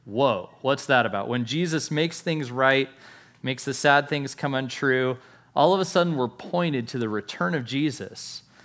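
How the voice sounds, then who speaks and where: Here is a man with an ordinary speaking voice, pitched fairly high. He talks at a moderate pace with ordinary pitch variation. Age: 40s. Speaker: pastor. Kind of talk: sermon.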